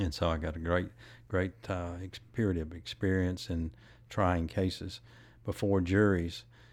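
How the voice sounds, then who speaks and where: A man with a Tennessee accent speaks at a very deep, low pitch and a fairly slow pace, with fairly even intonation. The recording is very clean, with a silent background. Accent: Southern US (Tennessee). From West Tennessee, US South. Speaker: former congressman and judge. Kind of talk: interview. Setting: live recording at a venue.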